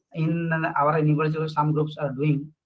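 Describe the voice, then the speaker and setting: Here is a man with an ordinary speaking voice. He talks at a moderate pace with a fairly high pitch for a man. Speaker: session chair at physics conference. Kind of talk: conference Q&A session.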